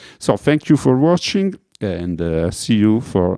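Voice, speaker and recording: A man with an Italian accent talks at a very slow pace, his dark, mellow tone, fairly low pitch and lively intonation captured on a very clean recording with a silent background and a dry, close sound with no echo. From Italy. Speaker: music producer. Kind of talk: tutorial. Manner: halting, many fillers.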